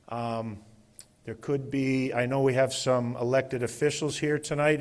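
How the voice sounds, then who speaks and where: A plain, everyday voice moves at a fairly slow pace. The intonation stays fairly even. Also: man. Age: 60s. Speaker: event moderator, city staff member. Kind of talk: public meeting moderation. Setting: live public open house with audience. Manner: informal, conversational.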